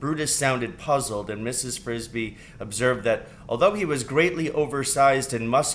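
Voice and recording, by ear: This is reading aloud in a natural voice. The pitch varies in an ordinary way.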